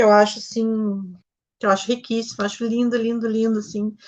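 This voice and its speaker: A woman speaks with a southern Brazilian accent. Her pitch sits fairly high. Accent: Gaúcho (southern Brazilian) Portuguese. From Rio Grande do Sul, Brazil (Novo Hamburgo). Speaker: novelist. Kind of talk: interview.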